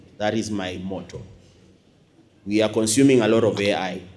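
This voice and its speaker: Through audible room echo, a man with a dark, mellow tone talks at a moderate pace. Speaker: university lecturer and academy principal. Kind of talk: closing speech to audience. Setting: stage with audience. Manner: loud; animated.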